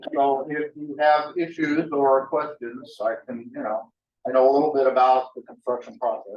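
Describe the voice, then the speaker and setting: Fairly even intonation and a moderate pace from a man with a fairly high pitch. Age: 60s. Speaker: new real estate agent. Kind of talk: self-introduction. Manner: halting.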